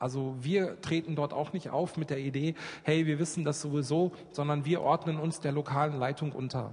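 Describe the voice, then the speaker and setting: A man with a fairly high, somewhat breathy voice keeps a moderate pace and fairly even intonation. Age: 40s. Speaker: children's charity worker. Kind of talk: church talk with flipchart.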